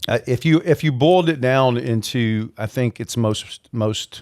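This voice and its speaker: A man with a Mobile, Alabama accent speaks at a fairly slow pace with lively intonation in a very clean recording with a silent background. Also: dry, close sound with no echo. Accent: Southern US (Mobile, Alabama). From US South, Mobile, Alabama. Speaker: leadership coach and professor. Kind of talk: podcast interview.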